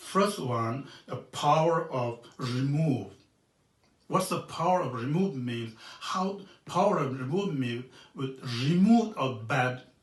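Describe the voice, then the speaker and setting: Amid audible room echo, a man speaks at a very slow pace with lively intonation. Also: fairly high pitch for a man. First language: Tibetan. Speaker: Buddhist monk teacher. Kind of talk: dharma teaching. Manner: halting, many fillers.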